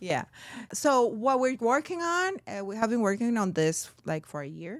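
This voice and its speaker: On a very clean recording with a silent background, a woman's fairly high voice swings very widely in pitch and loudness alike. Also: moderate pace. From Colombia. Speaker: real estate broker. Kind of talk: interview.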